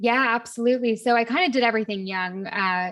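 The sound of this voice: Talking at a fast pace, a woman has a fairly high pitch, a fairly bright tone and ordinary pitch variation.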